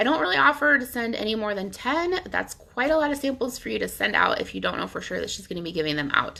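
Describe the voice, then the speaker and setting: The speech races along very fast with hardly any pauses and very wide pitch swings. Noticeable background noise sits underneath. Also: woman, fairly high pitch for a woman. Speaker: nail polish sales stylist. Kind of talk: tutorial. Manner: casual with many fillers.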